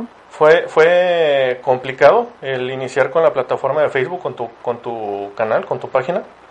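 Over noticeable background noise, a man speaks at a fairly slow pace. His pitch is fairly high. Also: lively intonation. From Ciudad Victoria, Tamaulipas, northeastern Mexico. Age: 30s. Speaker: podcast host. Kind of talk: casual interview. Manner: halting, many repeated words.

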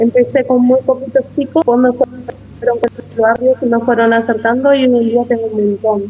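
Fairly slow, monotone speech from a woman with a high pitch and very even loudness, over noticeable background noise. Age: 30s. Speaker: community kitchen organizer. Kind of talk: interview.

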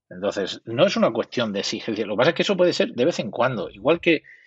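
This man has a normal speaking voice and moves at a fairly quick pace. His intonation is lively. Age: 50s. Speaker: psychologist. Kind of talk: interview.

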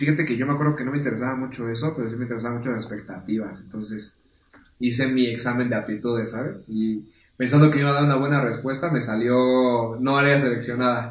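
Very fast speech with fairly even intonation and audible room echo. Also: man, medium pitch for a man. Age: 20s. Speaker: podcast guest. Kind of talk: casual chat.

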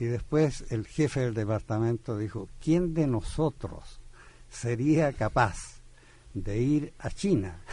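A man speaks at a very slow pace with lively intonation. His voice is somewhat breathy. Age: 80s+. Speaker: poet and literature professor. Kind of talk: radio interview. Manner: halting, many fillers.

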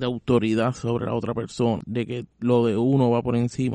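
A man speaks at a fairly slow pace in a medium pitch, his tone dark and mellow, with a dry, close sound and no echo. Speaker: podcast host. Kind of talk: reflective scripted narration.

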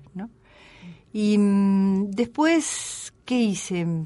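A woman speaks at a medium pitch with a dark, mellow tone and lively intonation. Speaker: radio presenter and former actress. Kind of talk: casual chat. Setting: studio.

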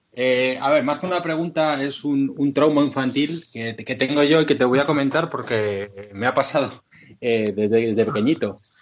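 Ordinary pitch variation and a moderate pace mark a plain, everyday voice. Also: man, fairly high pitch for a man. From Madrid, Spain. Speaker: podcast contributor. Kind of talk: casual chat.

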